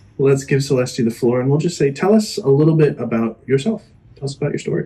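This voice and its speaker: With a dark, mellow tone and an American accent, the speaker goes at a very fast pace, somewhat breathy, with lively intonation. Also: man, fairly high pitch for a man. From Florida, US. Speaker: podcast host. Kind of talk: casual interview chat.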